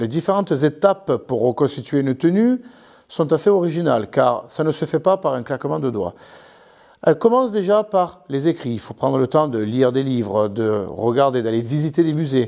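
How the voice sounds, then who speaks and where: A man with a southern French accent speaks at a moderate pace in a dark, mellow tone, fairly high-pitched with lively intonation. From southern France, Carpentras (Vaucluse). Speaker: historical reenactment association president. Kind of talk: interview explanation. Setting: museum.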